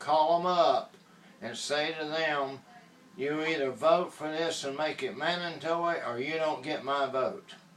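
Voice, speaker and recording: Through noticeable background noise, a man with a Southern US accent speaks at a fairly slow pace, his fairly high pitch kept in fairly even intonation. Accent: Southern US (Georgia). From US South, Georgia. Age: 70s. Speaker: inventor promoting a product. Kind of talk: political appeal and sales pitch. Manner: impassioned.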